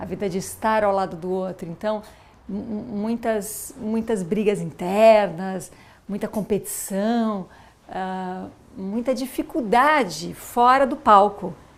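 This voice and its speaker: A woman's voice, medium in pitch with ordinary pitch variation, moves along at a very slow pace. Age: 40s. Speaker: former professional dancer and mother. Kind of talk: documentary interview. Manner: halting, many false starts.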